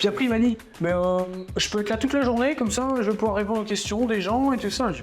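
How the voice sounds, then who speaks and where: Talking at a very fast pace, a man with a high pitch and ordinary pitch variation comes through with audible room echo. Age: 30s. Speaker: crypto trainer and event organizer. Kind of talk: interview. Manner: casual, hesitant with many fillers.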